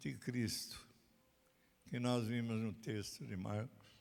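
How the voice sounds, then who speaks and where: Room echo is audible around this man. He talks very slowly. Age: 90s. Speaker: pastor. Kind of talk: sermon. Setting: recorded at a country property.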